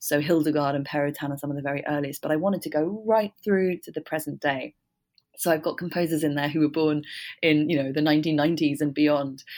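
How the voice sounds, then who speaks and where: Very deep and low for a woman, her voice moves at a very fast pace with a southern English accent. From London, England. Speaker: musician, author and radio executive. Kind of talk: interview. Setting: remote call.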